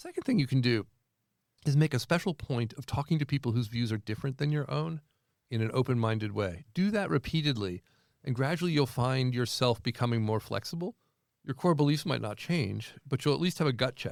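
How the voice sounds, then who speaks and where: In an ordinary speaking voice, a man talks at a fairly quick pace with medium pitch and lively intonation. The sound is dry and close with no echo, a very clean recording with a silent background. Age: 60s. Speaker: professor. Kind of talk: interview.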